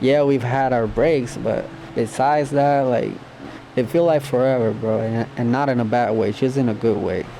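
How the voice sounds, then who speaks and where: With noticeable background noise behind him, a man with a Spanish accent talks at medium pitch, keeping fairly even intonation and very even loudness. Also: moderate pace. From Puerto Rico. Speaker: YouTuber. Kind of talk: storytime monologue. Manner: casual.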